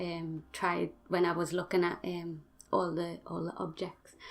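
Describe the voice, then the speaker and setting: This very clean recording, with a silent background, features a speaker with a Geordie accent. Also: woman. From northern England, Newcastle (Geordie). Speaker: gaming YouTuber. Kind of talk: voice-over tutorial. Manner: halting, many fillers.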